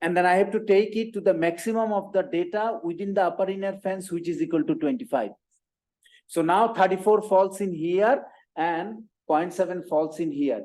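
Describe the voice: At a moderate pace, a man speaks with a high pitch and a slightly mellow tone.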